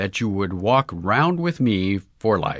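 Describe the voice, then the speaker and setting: Using a put-on character voice, a man speaks shakily at a fairly slow pace and a fairly low pitch, with very wide pitch swings. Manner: emotional, earnest.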